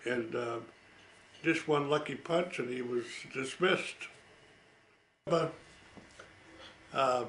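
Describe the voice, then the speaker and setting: A man with an American accent speaks at a very slow pace, with long, frequent pauses. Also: medium pitch for a man, ordinary pitch variation. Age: 80s+. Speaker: war veteran. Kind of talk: storytelling. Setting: at home. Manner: halting.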